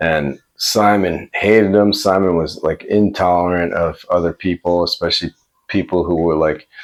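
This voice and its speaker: A man with a New York accent talks at a moderate pace in a very deep, low pitch, his intonation fairly even, and the sound is dry and close with no echo. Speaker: vlogger. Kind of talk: personal storytelling. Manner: casual, conversational.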